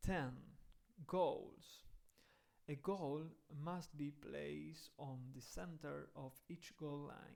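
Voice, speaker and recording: Speaking with a Spanish accent, a man talks at a very slow pace with long, frequent pauses. His loudness swings widely. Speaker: football rules educator. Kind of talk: reading aloud. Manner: halting.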